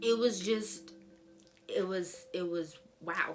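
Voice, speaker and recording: A woman talks at a fairly low pitch. Music plays in the background. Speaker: book reviewer. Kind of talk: casual talk to camera.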